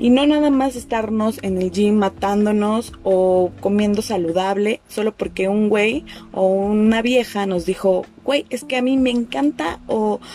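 Someone with a Mexico City accent speaks at a fairly slow pace over noticeable background noise. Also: woman. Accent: Mexico City Spanish (chilango). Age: 20s. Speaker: podcast host. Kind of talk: personal storytelling monologue. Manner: casual, slangy.

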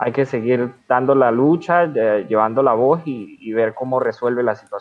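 A man with a plain, everyday voice at medium pitch, fairly slow, with ordinary pitch variation. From Venezuela. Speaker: podcast host. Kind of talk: casual interview.

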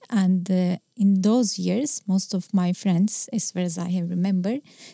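Somewhat breathy and at a medium pitch, a woman speaks with fairly even intonation in a dry, close sound with no echo. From Turkey, Istanbul. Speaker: ICT department head at a school. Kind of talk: interview.

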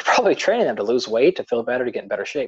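A man with an American accent is recorded with a dry, close sound and no echo. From US Pacific Northwest, rural. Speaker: exercise science professor. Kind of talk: interview. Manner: fast.

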